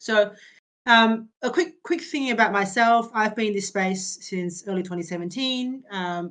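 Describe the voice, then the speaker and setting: A woman with an Australian accent talks with lively intonation. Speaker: crypto startup founder. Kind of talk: interview on community video call. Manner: halting, many fillers and repetitions.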